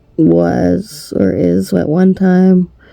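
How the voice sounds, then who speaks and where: This woman's speech comes through with noticeable background noise. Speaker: abstract artist. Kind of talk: casual talk to camera.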